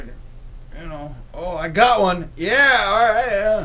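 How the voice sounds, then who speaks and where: With noticeable background noise and audible room echo, the speaker uses lively intonation. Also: man. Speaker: livestream host. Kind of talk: casual chat. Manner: animated; stuttering.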